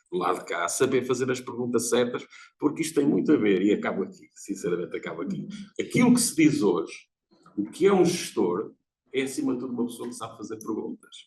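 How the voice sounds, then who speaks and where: Speaking very fast, a man talks with a European Portuguese accent. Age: 70s. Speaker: audience member, lecturer. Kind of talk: seminar audience comment. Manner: animated.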